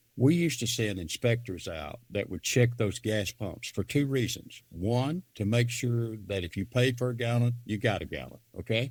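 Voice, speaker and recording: On a very clean recording with a silent background, a man with an Alabama accent speaks at a moderate pace with ordinary pitch variation. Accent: US Southern (Alabama). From northeast Alabama. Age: 70s. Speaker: political candidate. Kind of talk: interview. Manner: animated.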